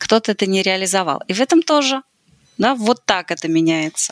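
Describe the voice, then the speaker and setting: A woman with a normal speaking voice at medium pitch talks at a fairly quick pace with lively intonation, in a dry, close sound with no echo. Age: 40s. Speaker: sales department consultant, author. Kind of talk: podcast interview.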